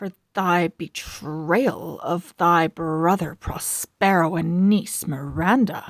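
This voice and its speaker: Doing a put-on character voice, a woman growls at a fairly low pitch and a very slow pace. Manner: screeching.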